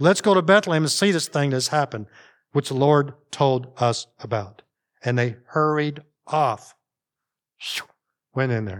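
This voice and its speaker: This man has a Northern US accent and a fairly high pitch, with an animated tone and lively intonation, leaving long, frequent pauses. The recording is very clean, the background silent. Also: moderate pace. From US North. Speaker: pastor. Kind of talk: sermon. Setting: church. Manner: informal, animated.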